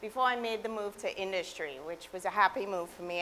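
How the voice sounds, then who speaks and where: A woman speaks with a Trinidadian accent. Her pace is very fast. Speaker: environmental director, guest lecturer. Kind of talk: public lecture.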